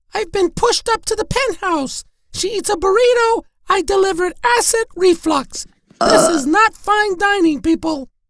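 An extremely high, cartoonish character voice speaks at a moderate pace. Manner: dramatic, grumpy.

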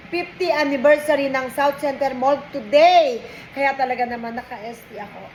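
Over noticeable background noise, a woman speaks at a fairly slow pace with a high pitch. Her pitch varies normally while her loudness swings widely. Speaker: vlogger. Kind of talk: casual chat. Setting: lunch break at work.

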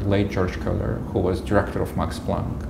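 A man speaks with a Russian accent over noticeable background noise. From Russia, Moscow. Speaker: immunologist, professor; interviewee. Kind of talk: interview; interview answer. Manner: halting, many fillers. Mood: calm, reflective. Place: office. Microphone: lapel.

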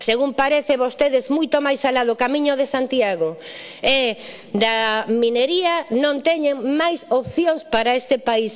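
At a moderate pace and with hardly any pauses, a woman talks in a high pitch with ordinary pitch variation. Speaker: politician. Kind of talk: parliamentary speech. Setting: parliament chamber. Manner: formal.

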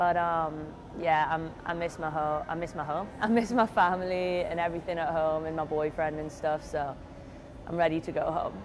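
Over noticeable background noise, a woman with a British accent talks at a fairly low pitch with fairly even intonation. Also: moderate pace. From Britain. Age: 20s. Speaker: college swimmer. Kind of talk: interview. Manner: hesitant, many fillers. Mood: relaxed, reflective. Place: hall. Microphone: lapel.

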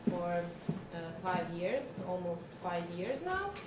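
A woman with a Croatian accent at a very slow pace, with noticeable background noise. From Croatia (Zagreb). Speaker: human rights NGO worker. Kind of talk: lecture. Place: classroom.

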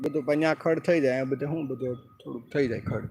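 A man speaks at a medium pitch. There is noticeable background noise. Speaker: vlogger. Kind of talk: live stream walkthrough. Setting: indoors then outdoors at a water works. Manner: casual, conversational.

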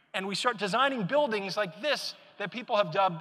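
A man's raised, projected voice, bright and sharp in tone, at a fairly quick pace. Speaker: keynote speaker. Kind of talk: conference keynote talk. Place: hall. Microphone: lapel.

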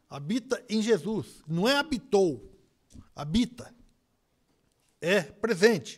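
Against a quiet background, a man with a high voice talks at a very slow pace while his pitch swings very widely. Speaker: preacher. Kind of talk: sermon, preacher in full flow. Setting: church. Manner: animated, repeating phrases and interjecting 'olha só'; rhythmic, emphatic, conversational delivery with frequent stumbles and repeated words. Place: church. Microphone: podium.

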